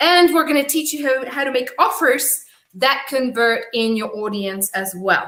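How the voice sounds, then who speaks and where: A woman with a Czech accent, high pitch and a bright, sharp tone, at a moderate pace. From Czech Republic. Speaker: business coach. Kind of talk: live webinar training. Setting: livestream.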